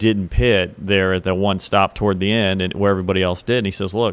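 Fairly low in pitch, a man's voice moves along at a fairly quick pace. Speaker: motorsports journalist. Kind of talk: casual chat. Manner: loud; animated.

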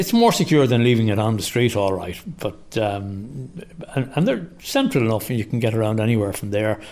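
With an Irish accent, a man speaks at a fairly quick pace in a medium pitch with ordinary pitch variation. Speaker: commuter cyclist. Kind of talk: interview.

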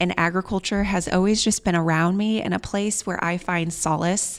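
A woman with a Midwestern US accent speaks at a fairly slow pace in a medium pitch, her pitch varying in an ordinary way, on a very clean recording with a silent background. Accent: US Midwest. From Nebraska, Columbus. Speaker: winery owner. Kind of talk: interview.

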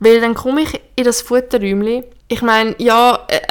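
A woman talks at a fairly slow pace with a fairly high pitch. She has an ordinary speaking voice. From Switzerland. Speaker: podcast co-host, horse rider. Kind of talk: casual chat.

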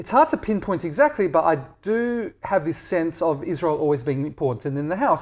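A man with an Australian accent at a fairly quick pace, with ordinary pitch variation. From Australia, Perth. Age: 40s. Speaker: blogger and Israel advocate. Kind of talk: casual interview. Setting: at home.

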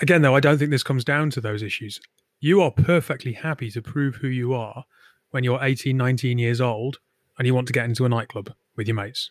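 A man with an ordinary speaking voice at medium pitch, fairly quick and fairly even in intonation, in a very clean recording with a silent background and a dry, close sound with no echo. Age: 30s. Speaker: tech podcast host. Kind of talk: casual chat.

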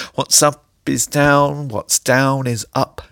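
The speaker has an English accent. The pace is very slow. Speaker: poet. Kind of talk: comic spoken-word poem performance, rhyming wordplay. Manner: playful, sing-song tongue-twister rhythm; animated, absurdist comic delivery.

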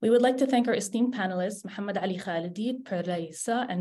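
A woman talks very fast in a dark, mellow tone that is somewhat breathy. Her pitch varies in an ordinary way against a quiet background. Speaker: student event assistant. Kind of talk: scripted welcome announcement. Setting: video call webinar.

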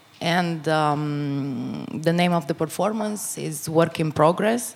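Very slow and fairly low in pitch, a woman speaks. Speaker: theater director and playwright. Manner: hesitant, searching for words.

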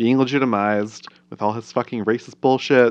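A man talks at a fairly quick pace and medium pitch, with fairly even intonation, in an ordinary speaking voice. The background is quiet. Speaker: podcast co-host. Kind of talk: casual chat.

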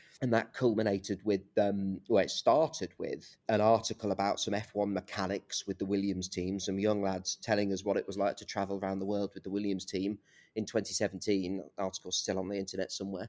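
A man with an East Midlands accent, fairly low in pitch, with monotone, flat intonation, a fairly quick pace, hardly any pauses and a dry, close sound with no echo. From East Midlands, England (Leicester). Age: 30s. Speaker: journalist. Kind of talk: interview conversation. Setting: video call.

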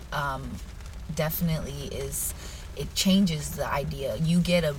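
There is music playing behind a woman as she speaks. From US Pacific Northwest (Yakima, Washington), born in Brazil. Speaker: jiu-jitsu instructor and dancer. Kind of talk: interview. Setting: video call.

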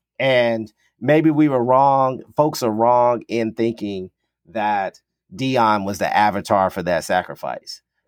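A man speaks at a very slow pace in a medium pitch with ordinary variation. The recording is very clean with a silent background and a dry, close sound with no echo. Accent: American. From US South (Kentucky). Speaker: sports historian, podcast co-host. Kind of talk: casual chat.

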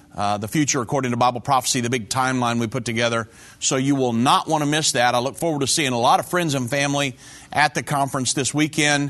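Very fast and with an American accent, a man talks at a medium pitch with ordinary pitch variation. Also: quiet background. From Indiana, US Midwest. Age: 50s. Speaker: evangelist show host. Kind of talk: religious commentary show.

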